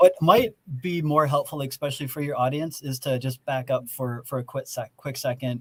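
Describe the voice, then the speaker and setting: A man with an American accent talks at a moderate pace, somewhat breathy, with a fairly high pitch and ordinary pitch variation. The sound is dry and close, with no echo. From eastern Wisconsin. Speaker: autonomous technology education center representative. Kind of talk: podcast interview.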